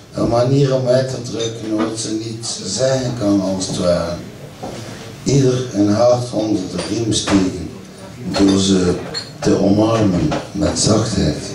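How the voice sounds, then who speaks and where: A man talks at a very slow pace with ordinary pitch variation, amid noticeable background noise and audible room echo. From Ghent, Belgium. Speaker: poet. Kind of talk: live poetry reading. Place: stage. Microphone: camera far.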